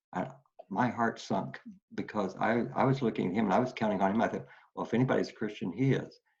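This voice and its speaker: A man with vocal fry and an American accent rushes along at a very fast pace, his fairly low pitch showing ordinary variation. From Oklahoma. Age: 70s. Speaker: retired pastor and war veteran. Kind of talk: testimony. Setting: video call. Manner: halting, many fillers and repeats.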